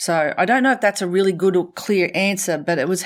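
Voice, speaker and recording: A woman with an Australian accent, medium pitch, ordinary pitch variation and a fairly quick pace, on a very clean recording with a silent background. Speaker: professional speaker and leadership consultant. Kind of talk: casual interview chat. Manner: animated, playful.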